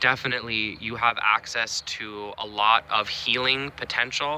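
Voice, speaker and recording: Noticeable background noise runs under the voice. Its pitch moves up and down in an ordinary way. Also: man. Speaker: astrologer. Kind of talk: solo talk to camera.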